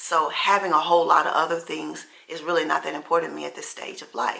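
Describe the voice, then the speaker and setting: Moving at a fairly quick pace, a woman speaks at a fairly low pitch. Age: 60s. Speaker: lifestyle vlogger. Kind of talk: casual chat. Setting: at home.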